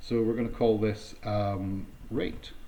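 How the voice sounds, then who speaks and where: This man has a fairly low pitch and a dark, mellow tone, somewhat breathy. He speaks with a slight Scottish accent. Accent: mild Scottish. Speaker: Salesforce consultant. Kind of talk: technical tutorial narration. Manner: casual, hesitant, many fillers.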